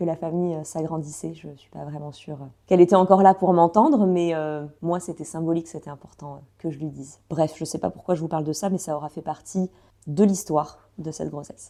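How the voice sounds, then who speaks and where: A woman's dark, mellow voice at a fairly low pitch, fairly quick in pace with big swings in loudness, on a very clean recording with a silent background. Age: 30s. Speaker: podcaster sharing personal pregnancy diary. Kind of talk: personal voice-note monologue. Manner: fast; animated.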